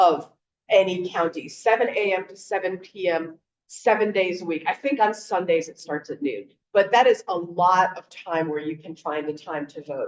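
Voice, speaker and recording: A woman talks in an unremarkable speaking voice at medium pitch with ordinary pitch variation. Her pace is moderate, and her loudness swings widely. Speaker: voting rights advocate. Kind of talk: panel presentation. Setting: video call.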